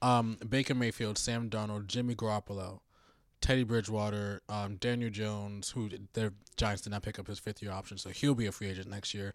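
On a very clean recording with a silent background, a man talks at a fairly quick pace. His pitch is fairly low and his intonation monotone and flat. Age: 30s. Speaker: sports podcast guest. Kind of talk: casual chat. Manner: halting.

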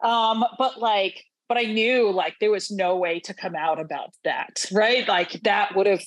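Speaking in an unremarkable speaking voice, a woman with an American accent keeps a medium pitch and ordinary pitch variation. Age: 30s. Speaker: chaplain. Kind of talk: casual interview conversation.

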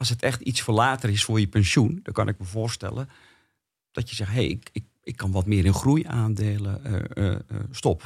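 In a very clean recording with a silent background, a man with a fairly low pitch and a somewhat breathy voice speaks at a moderate pace. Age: 60s. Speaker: experienced investor. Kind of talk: casual interview. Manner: halting.

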